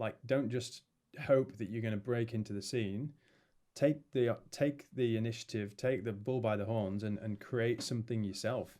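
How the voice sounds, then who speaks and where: In a Yorkshire accent, the voice carries a dark, mellow tone, fairly even intonation and a moderate pace. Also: man. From northern England, Leeds. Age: 30s. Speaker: music producer and label owner. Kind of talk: casual chat.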